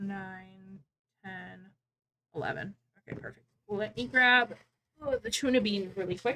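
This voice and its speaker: Speaking at a fairly slow pace with long, frequent pauses, a woman has a medium pitch, ordinary pitch variation, a bright, sharp tone and big swings in loudness. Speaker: crochet livestreamer. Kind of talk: casual livestream chat while crafting. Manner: counting aloud.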